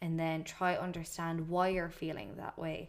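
This woman speaks at a moderate pace in a fairly low pitch, her intonation fairly even. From Ireland. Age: 20s. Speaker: podcaster. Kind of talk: casual monologue. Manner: casual, filler-heavy.

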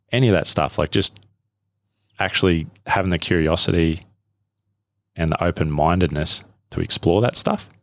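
A man with an Australian accent speaks with a very deep, low pitch. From Australia, central Queensland. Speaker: survival hunter and bush guide. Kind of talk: interview. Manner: halting, repeats words.

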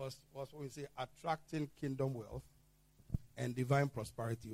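A man speaks with big swings in loudness and a somewhat breathy quality. His intonation stays fairly even. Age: 60s. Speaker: pastor. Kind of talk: sermon.

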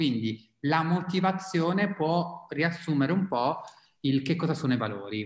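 Lively intonation and a moderate pace in a fairly high male voice. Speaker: psychologist and mindfulness guide. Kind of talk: casual chat.

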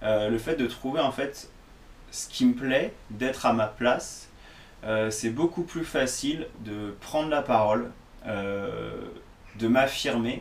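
Noticeable background noise runs behind this recording. A man talks at a medium pitch with ordinary pitch variation. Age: 30s. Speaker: fitness coach. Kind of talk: solo podcast monologue. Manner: hesitant, many fillers.

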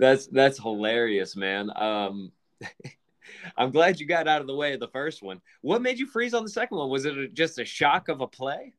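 Very wide pitch swings at a moderate pace, against a quiet background. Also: man, fairly high pitch for a man. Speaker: podcast host. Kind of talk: casual chat.

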